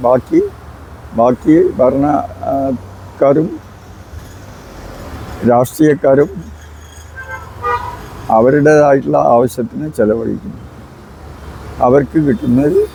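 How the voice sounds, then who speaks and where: Noticeable background noise accompanies a man as he speaks. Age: 80s+. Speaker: activist. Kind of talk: interview answer. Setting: outdoors.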